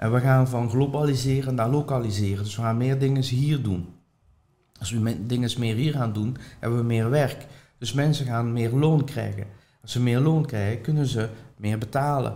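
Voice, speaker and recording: A man speaks at a moderate pace in a dark, mellow tone with a somewhat breathy quality. Audible room echo surrounds his voice. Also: medium pitch for a man, fairly even intonation. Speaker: property investor and trainer. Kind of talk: interview.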